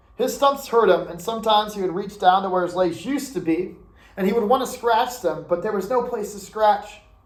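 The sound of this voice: The clip has an unforced reading voice. Its pitch variation is ordinary.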